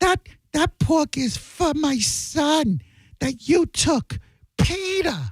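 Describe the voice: A shrill, high-pitched put-on character voice goes at a very slow pace in a very clean recording with a silent background.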